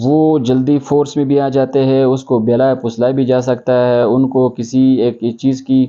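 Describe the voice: At a fairly slow pace, a man speaks at a medium pitch with little pitch movement and a dark, mellow tone.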